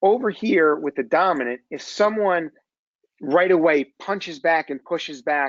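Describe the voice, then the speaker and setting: The speaker talks at a moderate pace with ordinary pitch variation and a slight New Jersey accent. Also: man, high pitch for a man. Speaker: executive coach. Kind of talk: webinar presentation. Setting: webinar.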